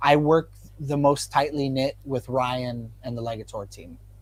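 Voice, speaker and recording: A man's fairly high voice, an ordinary speaking voice, at a moderate pace with ordinary pitch variation. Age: 20s. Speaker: guitarist and producer. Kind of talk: casual chat.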